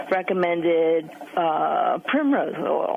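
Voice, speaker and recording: A woman speaks at a fairly low pitch. Noticeable background noise is present. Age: 60s. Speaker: caller. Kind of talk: radio call-in question. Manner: hesitant, many fillers.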